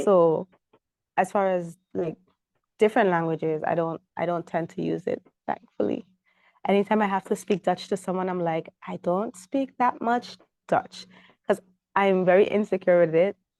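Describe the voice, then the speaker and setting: A woman in a Sint Maarten accent, medium-pitched, with a dark, mellow tone and ordinary pitch variation, at a moderate pace with long, frequent pauses, in a dry, close recording with no echo. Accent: Sint Maarten Caribbean English. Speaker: hospitality and marketing professional. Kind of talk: interview answer.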